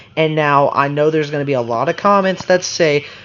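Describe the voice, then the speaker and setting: A man with a fairly high pitch talks through noticeable background noise. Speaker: gaming YouTuber. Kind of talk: casual commentary video.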